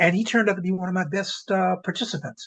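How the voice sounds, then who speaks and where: A man with an American accent at a high pitch and a very fast pace, over a quiet background. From Washington, DC. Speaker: storyteller. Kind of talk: interview conversation.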